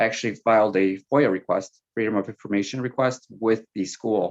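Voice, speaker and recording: This man speaks with a Spanish accent. His fairly low voice keeps a fairly even intonation. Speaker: school board candidate. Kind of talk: panel Q&A answer.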